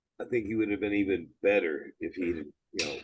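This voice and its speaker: A man with an American accent speaks in a fairly low, somewhat breathy voice. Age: 60s. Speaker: gym owner and former bodybuilder. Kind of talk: interview.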